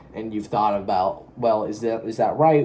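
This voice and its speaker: Noticeable background noise accompanies a man whose medium-pitched speech shows ordinary pitch variation. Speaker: solo vlogger. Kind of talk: casual monologue. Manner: fast; halting.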